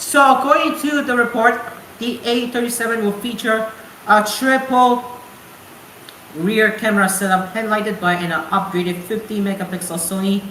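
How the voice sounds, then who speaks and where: Delivered at a moderate pace with ordinary pitch variation, the speech carries audible room echo and noticeable background noise. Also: woman. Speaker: radio show host. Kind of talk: casual radio show talk; news reading. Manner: halting, self-correcting.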